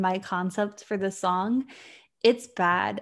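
A woman with an American accent speaks at a moderate pace and medium pitch with ordinary pitch variation, in an unremarkable speaking voice, on a very clean recording with a silent background. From Virginia, US. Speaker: podcast co-host. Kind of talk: casual chat.

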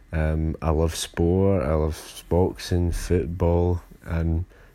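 This man talks with a Glaswegian accent. His voice sits very deep and low, with a dark, mellow tone. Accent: Glaswegian Scottish. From Scotland, Glasgow. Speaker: podcast host. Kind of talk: casual solo podcast intro. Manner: halting, many fillers.

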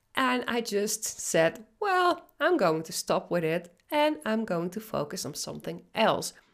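With a Dutch accent and vocal fry, a woman talks at a medium pitch and a fairly slow pace, her pitch swinging very widely and hardly any pauses breaking her speech. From Netherlands. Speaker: business coach. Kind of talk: podcast monologue.

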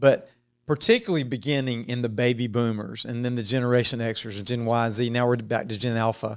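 A man with an unremarkable speaking voice talks at medium pitch and a moderate pace with fairly even intonation, recorded very cleanly against a silent background. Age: 50s. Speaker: church podcast host. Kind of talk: casual interview chat.

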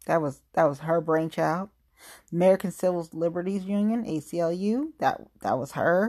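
This speaker has a Southern US accent and a dark, mellow tone. The pace is moderate, pitch varies in an ordinary way, and the background is quiet. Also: woman, fairly low pitch for a woman. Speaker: podcast host. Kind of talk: solo podcast monologue. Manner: informal, emotional.

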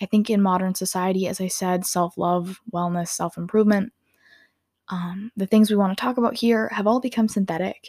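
With an American accent, a woman talks at a fairly quick pace with fairly even intonation. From Minnesota, US. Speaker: podcast host. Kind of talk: solo monologue.

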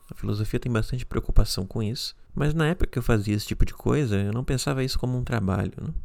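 On a very clean recording with a silent background, a man at a medium pitch talks very fast with hardly any pauses and ordinary pitch variation. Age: 30s. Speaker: podcast host. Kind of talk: solo podcast monologue.

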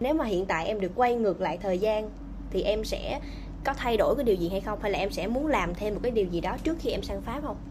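A woman talks very fast with lively intonation, with audible room echo and noticeable background noise. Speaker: podcast host on career guidance. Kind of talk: casual interview. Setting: remote call.

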